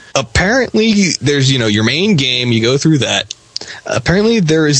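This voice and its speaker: There's noticeable background noise behind this man's voice. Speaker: co-host. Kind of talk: casual banter.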